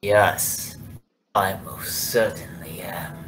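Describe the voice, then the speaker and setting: A man puts on a raspy character voice. It sits at a fairly low pitch. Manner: creepy.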